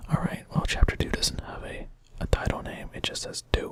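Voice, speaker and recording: Whispering at a moderate pace comes through noticeable background noise. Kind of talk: casual talk to camera. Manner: soft-spoken.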